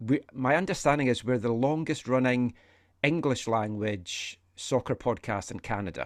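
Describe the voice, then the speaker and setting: On a very clean recording with a silent background, a man speaks at a moderate pace with a medium pitch and ordinary pitch variation. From Scotland, Fife. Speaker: soccer podcaster. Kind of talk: casual chat.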